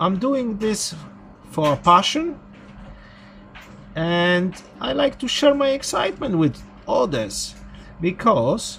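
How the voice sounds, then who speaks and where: Moving at a fairly slow pace, a man's voice makes very wide pitch swings. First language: not English. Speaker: electronics repair hobbyist. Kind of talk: tutorial.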